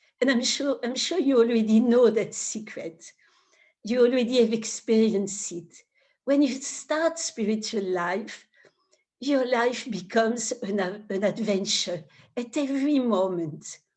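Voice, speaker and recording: A woman's fairly high voice with a French accent, at a fairly slow pace with ordinary pitch variation, against a quiet background. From France, Paris. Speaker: spiritual teacher. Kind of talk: spiritual talk. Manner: halting.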